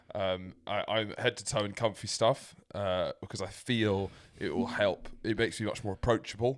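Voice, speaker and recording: A man with a British accent, moderate pace and fairly even intonation, on a very clean recording with a silent background. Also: fairly low pitch for a man. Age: 20s. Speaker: podcast co-host. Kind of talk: casual banter chat.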